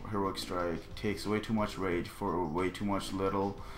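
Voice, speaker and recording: At a moderate pace, a man speaks at a fairly low pitch with ordinary pitch variation, with audible room echo. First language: not English. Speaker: gaming video creator. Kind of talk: tutorial. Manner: halting; casual.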